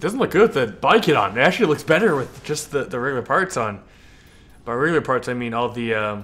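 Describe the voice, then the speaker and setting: Speaking very fast with an American accent, a man swings his pitch very widely. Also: medium pitch for a man. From California. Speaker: video game streamer. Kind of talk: live stream gameplay commentary. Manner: halting, repeats words.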